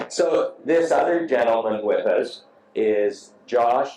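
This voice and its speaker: A man speaks over noticeable background noise. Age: 60s. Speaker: motorcycle show host. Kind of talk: casual interview.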